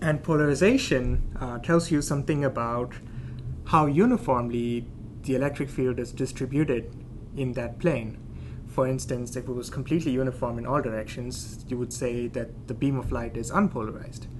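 Audible room echo surrounds this male speaker, whose pace is moderate. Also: medium pitch for a man, fairly even intonation. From India. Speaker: planetary scientist. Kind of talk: casual science explanation.

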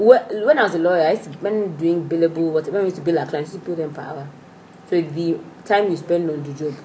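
Talking at a very fast pace over noticeable background noise, a woman with a fairly low pitch uses ordinary pitch variation and big swings in loudness. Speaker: podcast host. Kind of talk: casual chat.

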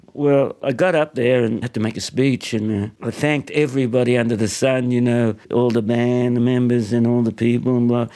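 Hardly pausing, a man talks at a moderate pace in a medium pitch, his tone dark and mellow and his intonation fairly even. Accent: Australian. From Australia (born in Hungary, arrived aged two). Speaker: singer and harmonica player. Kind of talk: casual chat. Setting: his apartment lounge room.

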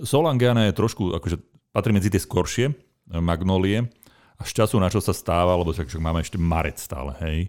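Very deep and low, this man's voice moves at a fairly quick pace with lively intonation. The recording is very clean, with a silent background. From central Slovakia (Nová Baňa). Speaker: podcast host, gardening expert. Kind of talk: casual chat.

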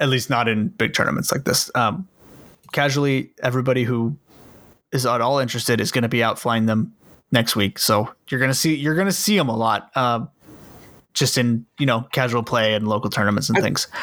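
This man talks at a fairly quick pace in a medium pitch, his loudness very even. It is a plain, everyday voice. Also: ordinary pitch variation, very clean recording, silent background. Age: 20s. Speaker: tabletop game podcast host. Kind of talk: casual chat.

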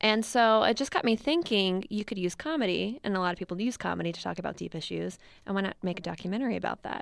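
A woman talks at a very fast pace with hardly any pauses, in an American accent and at a medium pitch. Her intonation is lively, and the recording is very clean with a silent background. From US East Coast (Maryland). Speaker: documentary filmmaker. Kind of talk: interview. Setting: studio.

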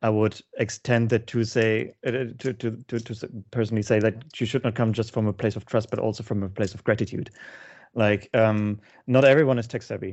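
With a German accent, a man of medium pitch talks at a fairly quick pace in a flat monotone. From Germany. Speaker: lead producer in games. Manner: halting, hesitant with restarts.

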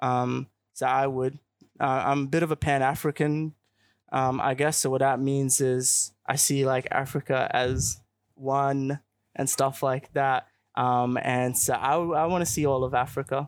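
At a fairly slow pace, a man with an Australian accent speaks in a flat monotone at a medium pitch and very even loudness, the sound dry and close with no echo in a very clean recording with a silent background. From Australia (Queensland, Melbourne). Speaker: youth organization leader. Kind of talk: interview. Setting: outdoor live broadcast. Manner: hesitant with many fillers.

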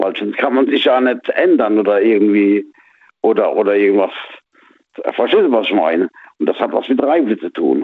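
The speaker is a man at a moderate pace. Long pauses come often. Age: 50s. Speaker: radio caller. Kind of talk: radio call-in chat. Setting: phone call.

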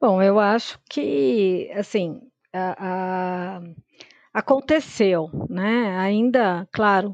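Against a quiet background, a woman speaks at a medium pitch, the sound dry and close with no echo. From Brazil, São Paulo. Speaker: data scientist. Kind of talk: interview.

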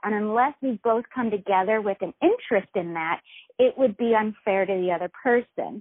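Moderate pace and ordinary pitch variation, with an American accent. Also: woman, fairly high pitch for a woman. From US South, Virginia. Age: 30s. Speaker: website founder. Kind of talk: interview. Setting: phone call. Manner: halting.

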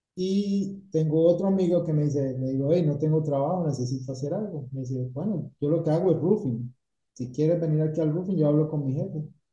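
This man has a fairly high pitch and a dark, mellow tone. He talks at a moderate pace with ordinary pitch variation. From Colombia, Cali. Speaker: painting company owner. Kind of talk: interview.

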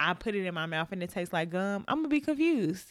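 Her intonation moves in a lively way. The woman's pitch sits in the medium range. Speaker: podcast co-host. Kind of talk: casual chat. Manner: slow.

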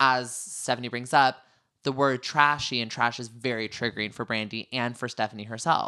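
In a very clean recording with a silent background, a man with a bright, sharp tone speaks at medium pitch and a moderate pace. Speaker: reality TV recap podcast host. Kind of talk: casual chat. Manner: animated.

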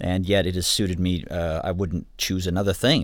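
A man with a Midwestern American accent at a fairly quick pace, on a very clean recording with a silent background. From Michigan, Ann Arbor. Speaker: studio director and recording instructor. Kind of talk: interview. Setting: studio control room.

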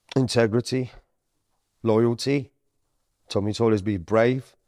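A man with a dark, mellow tone and fairly even intonation is heard in a very clean recording with a silent background. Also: long, frequent pauses, very even loudness. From Sicily and Romania, then UK. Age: 30s. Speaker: estate agent. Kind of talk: interview.

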